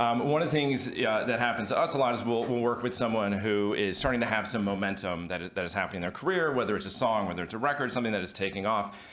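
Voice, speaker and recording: Talking very fast with hardly any pauses, a man keeps a medium pitch and ordinary pitch variation. Room echo is audible, along with noticeable background noise. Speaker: music attorney. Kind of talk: panel discussion. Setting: stage with audience. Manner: hesitant, many fillers.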